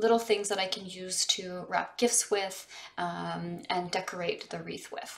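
A woman's fairly even intonation comes at a fairly slow pace. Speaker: lifestyle vlogger. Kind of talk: casual vlog chat. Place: home room. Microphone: phone near.

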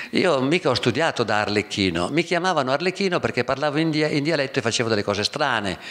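Over a quiet background, a man with a fairly high pitch talks very fast with hardly any pauses and very even loudness. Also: lively intonation. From northern Italy, Verona lowlands (Veneto); Veneto, Italy. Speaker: theatre actor and festival director; theatre actor. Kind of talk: public talk, personal recollection. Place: hall. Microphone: podium.

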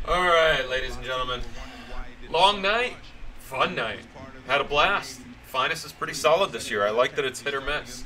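A man does a put-on character voice, hoarse and fairly high-pitched, with lively intonation at a moderate pace. Long, frequent pauses break it up, and clear background noise is present. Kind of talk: live stream host sign-off chat.

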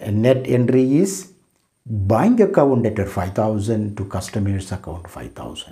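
With an Indian accent, a man speaks at a fairly slow pace and fairly low pitch, showing ordinary pitch variation and big swings in loudness against a quiet background. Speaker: professor. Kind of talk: lecture. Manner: formal.

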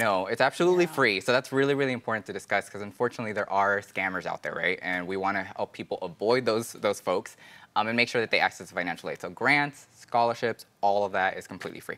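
The tone is bright and sharp, with ordinary pitch variation and an American accent. Delivery comes at a very fast pace. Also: man. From US, Los Angeles; California. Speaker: financial aid outreach staff and podcast co-host; podcast co-host. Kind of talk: casual informational chat; conversational podcast talk. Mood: friendly, earnest. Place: studio. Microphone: lapel.

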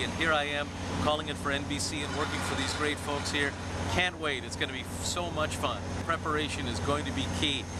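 Loud background noise accompanies a man whose voice is dry, with no echo. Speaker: horse race caller. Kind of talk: interview answer. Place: street. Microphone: phone near.

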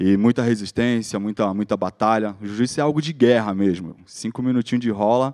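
A dark, mellow tone at a moderate pace, with ordinary pitch variation over a quiet background. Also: man. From Brazil, Guarujá, São Paulo state; São Paulo, Brazil. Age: 30s. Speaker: social project founder and jiu-jitsu instructor; jiu-jitsu instructor. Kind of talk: motivational talk. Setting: stage with audience. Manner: casual slang-filled speech. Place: stage. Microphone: handheld.

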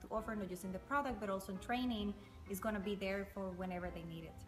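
A woman talks with a Spanish accent and ordinary pitch variation. Faint music plays in the background. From Costa Rica. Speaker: coffee company owner. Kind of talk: interview answer. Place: factory. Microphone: camera far.

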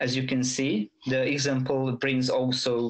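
Over a quiet background, a speaker with a Hungarian accent talks at a fairly slow pace. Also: man. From Hungary. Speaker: university student giving a tech talk; presenter. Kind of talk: conference presentation. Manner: hesitant, many fillers. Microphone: headset.

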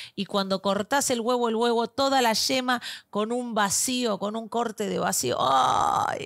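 In an Argentine accent, a woman speaks at a fairly slow pace. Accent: Argentine Spanish (voseo). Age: 40s. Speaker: podcast co-host. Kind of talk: casual chat.

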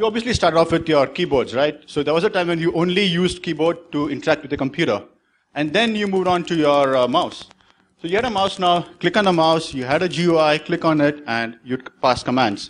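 With a fairly quick pace, a man speaks using ordinary pitch variation. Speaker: conference speaker. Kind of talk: tech talk presentation. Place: stage.

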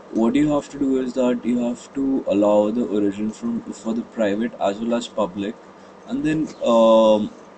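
A man speaks at medium pitch and a moderate pace, with fairly even intonation. Noticeable background noise is present. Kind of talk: casual tech tutorial talk.

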